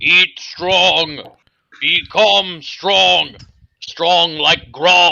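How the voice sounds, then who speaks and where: A raspy, put-on character voice at a middle pitch, delivered at a very slow pace. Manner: gruff, chest-pounding.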